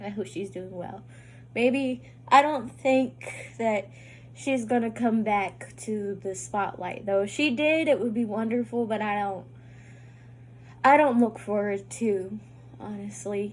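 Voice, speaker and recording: Somewhat breathy at a medium pitch, a woman talks at a fairly slow pace with very wide pitch swings and long, frequent pauses. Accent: American. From US, northern Kentucky / southern Indiana / Ohio area. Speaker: YouTube reactor. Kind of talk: casual reaction vlog chat. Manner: halting, stumbles over words.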